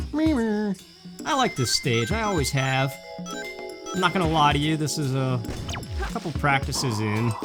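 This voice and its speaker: A woman's very deep, low voice with very wide pitch swings at a fairly slow pace, over music in the background. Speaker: gaming channel host. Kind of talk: let's play commentary. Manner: soft-spoken.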